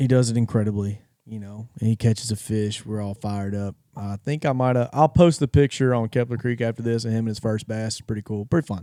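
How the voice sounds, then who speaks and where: A man with a Louisiana accent, medium-pitched, dark and mellow in tone, fairly even in intonation, very fast with hardly any pauses, in a dry, close sound with no echo. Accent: Southern US (Louisiana). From North Louisiana. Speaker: podcast host. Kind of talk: casual chat.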